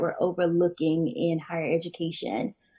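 Somewhat breathy, a woman talks at a moderate pace. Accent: American. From North Carolina, Winston-Salem. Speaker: PhD candidate. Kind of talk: casual interview conversation.

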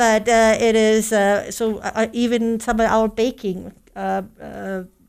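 On a very clean recording with a silent background, a woman with a German accent speaks fairly slowly in a fairly high pitch with fairly even intonation. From Germany, Ludwigsburg. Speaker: baker and chef, food business owner. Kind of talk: interview.

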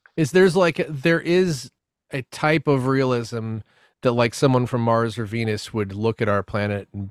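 A man with an American accent talks in a normal speaking voice at medium pitch and a moderate pace, with ordinary pitch variation, the sound dry and close with no echo on a very clean recording with a silent background. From US South. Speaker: podcast guest. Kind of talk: casual chat.

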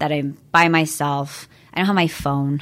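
On a very clean recording with a silent background, a woman with an American accent talks in a very deep, low pitch with ordinary pitch variation. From US Pacific Northwest (Washington State, Everett area). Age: 30s. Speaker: realtor and yoga instructor. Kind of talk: interview. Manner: calm.

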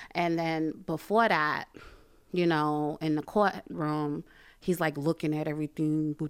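A woman speaks at a fairly slow pace with a very deep, low pitch. Her intonation stays fairly even. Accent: New York. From Brooklyn, New York. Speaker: church member and mother. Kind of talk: testimony.

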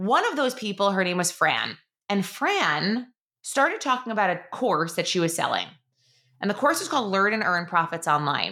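On a very clean recording with a silent background, a woman with a New York accent talks at a moderate pace, with medium pitch, lively intonation and a bright, sharp tone. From New York, Long Island. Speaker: podcast host, online business coach. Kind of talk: casual monologue.

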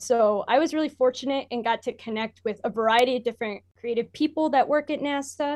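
A woman with an American accent has a normal speaking voice, pitched fairly high. She moves at a fairly quick pace with ordinary pitch variation. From Michigan, US. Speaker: university student and intern. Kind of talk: casual interview.

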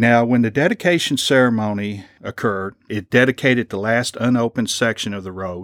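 A man with a Kentucky accent at a fairly quick pace, medium in pitch with ordinary pitch variation, in a dry, close sound with no echo on a very clean recording with a silent background. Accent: Kentucky (US South). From Lexington, Kentucky. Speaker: librarian and local historian. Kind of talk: lecture.

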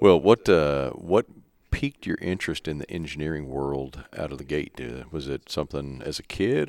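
Recorded dry and close with no echo, a man with a Midwestern American accent speaks at a moderate pace in a very deep, low pitch with ordinary pitch variation. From small-town Kansas. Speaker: podcast host, association director. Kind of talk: interview. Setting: public works office.

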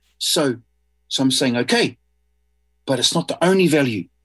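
Music sits in the background while a man speaks in a New Zealand accent. His intonation is lively and his pace moderate. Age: 50s. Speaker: artist. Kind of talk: interview. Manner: halting.

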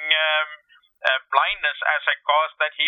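A man speaks at a fairly high pitch. His delivery is a flat monotone. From India. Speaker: nonprofit chief executive. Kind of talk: interview. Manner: halting, frequent fillers; passionate.

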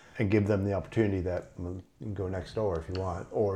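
Very fast and somewhat breathy, a man speaks with a Canadian accent in a fairly low pitch and a dark, mellow tone. The background is quiet. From Canada. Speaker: podcast producer. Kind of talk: casual chat.

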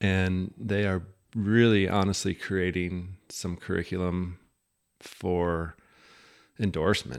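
A man's very deep, low voice with an American accent, very slow and fairly even in intonation, broken by long, frequent pauses, on a very clean recording with a silent background. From US Midwest, Iowa. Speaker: fly fishing and ski guide. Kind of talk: casual interview chat.

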